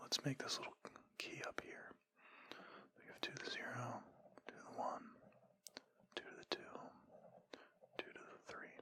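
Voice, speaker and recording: A man whispers at a moderate pace, with long, frequent pauses. His loudness swings widely against noticeable background noise. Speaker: ASMR creator giving a lecture. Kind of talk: ASMR lecture.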